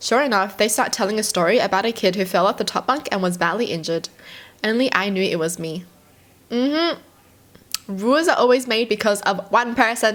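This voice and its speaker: A woman with an Australian accent, fairly high-pitched, with lively intonation. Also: fairly quick pace. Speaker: YouTuber reacting to stories. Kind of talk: reading aloud with commentary.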